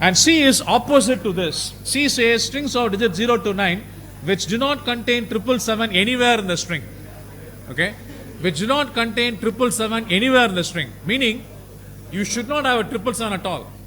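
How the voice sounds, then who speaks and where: Amid audible room echo, a man uses a raised, projected voice at a high pitch, talking at a fairly quick pace with ordinary pitch variation. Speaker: university lecturer. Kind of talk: lecture. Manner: loud; halting.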